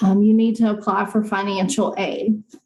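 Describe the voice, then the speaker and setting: A woman with a fairly high pitch talks at a moderate pace, with audible room echo and noticeable background noise. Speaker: financial aid presenter. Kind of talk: conference presentation.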